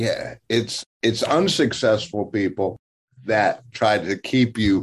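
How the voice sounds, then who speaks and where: A man talks with an American accent. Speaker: business coach and motivational speaker. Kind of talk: interview. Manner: energetic.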